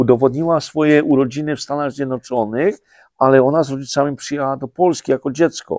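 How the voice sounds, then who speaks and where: The speech runs at a very fast pace with fairly even intonation. The sound is dry with no echo, over a quiet background. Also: man, fairly high pitch for a man. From Poland, Podhale highlands; Poland. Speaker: president of a highlander association; guest. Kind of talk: interview. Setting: studio. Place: studio.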